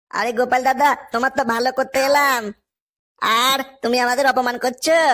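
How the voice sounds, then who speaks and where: This man uses a cartoonish character voice, extremely high-pitched and raised to a projected level. His delivery is monotone and flat, at a moderate pace with very even loudness. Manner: wheedling.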